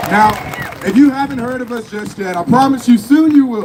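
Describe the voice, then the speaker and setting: Over noticeable background noise, a man talks in an animated tone with ordinary pitch variation. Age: 20s. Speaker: political youth leader. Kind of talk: rally speech. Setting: outdoor rally stage with audience. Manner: loud, animated.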